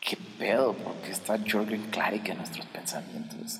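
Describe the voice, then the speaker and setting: With a Mexican accent, a man at a fairly low pitch talks fairly slowly with ordinary pitch variation amid audible room echo. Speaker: podcast host. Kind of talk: comedic monologue. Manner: animated.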